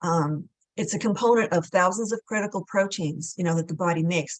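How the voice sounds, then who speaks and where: A woman speaks at a medium pitch. Her pitch variation is ordinary. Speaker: health and wellness expert. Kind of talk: interview. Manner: fast; hesitant, many fillers.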